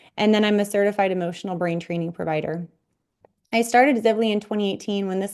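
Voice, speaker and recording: A woman with a Midwestern US accent, talking very fast in fairly even intonation over a quiet background. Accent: US Midwest. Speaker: physical therapist and health coach. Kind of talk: online workshop presentation.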